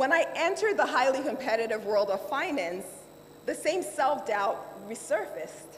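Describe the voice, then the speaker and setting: A woman with a Nigerian accent talks in a high voice with lively intonation. Noticeable background noise is present. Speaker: lawyer and finance executive. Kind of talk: keynote speech.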